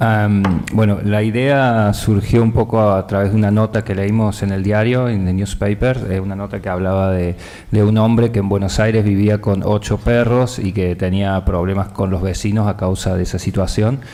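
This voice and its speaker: Delivered at a very fast pace with hardly any pauses, the flat, monotone speech carries noticeable background noise and audible room echo. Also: man, fairly low pitch for a man. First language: Spanish. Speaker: film director. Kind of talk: press conference answers.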